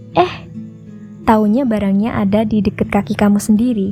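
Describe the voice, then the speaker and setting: Over music in the background, a woman speaks softly at a fairly high pitch. Her tone is calm and soothing. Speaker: sleep story narrator. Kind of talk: sleep story. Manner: soft-spoken, calm, soothing.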